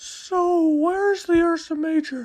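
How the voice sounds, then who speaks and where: A man puts on a character voice, squeaky and extremely high in pitch. He goes at a fairly slow pace. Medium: read story. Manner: inquisitive.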